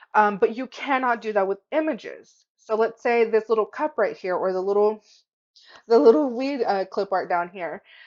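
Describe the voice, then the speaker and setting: Over a quiet background, a woman speaks in an animated tone at a moderate pace with ordinary pitch variation. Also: fairly high pitch for a woman. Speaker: craft tutorial youtuber. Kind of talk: tutorial. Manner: casual, animated. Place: home room. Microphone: webcam.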